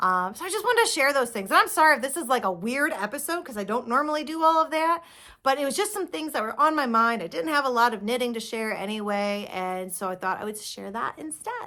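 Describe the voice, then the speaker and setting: Speaking at a very fast pace, a woman has a high pitch and very wide pitch swings. Her tone is bright and sharp on a very clean recording with a silent background. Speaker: knitting podcaster. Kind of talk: casual monologue.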